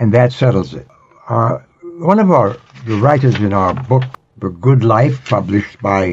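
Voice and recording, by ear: Ordinary pitch variation while reading aloud in a natural voice.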